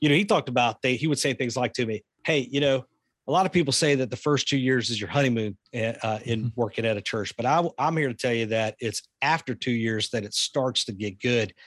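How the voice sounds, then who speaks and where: Over a quiet background, a man talks at a fairly quick pace with a medium pitch and a Southern US accent. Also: ordinary pitch variation, dry, close sound with no echo. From US South. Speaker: pastor and ministry leader. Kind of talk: casual interview.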